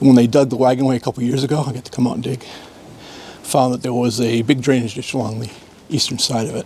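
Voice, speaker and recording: A man with an American accent speaks very fast in a monotone, flat delivery at medium pitch. Noticeable background noise sits behind him. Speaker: archaeology PhD student. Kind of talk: casual interview at a dig.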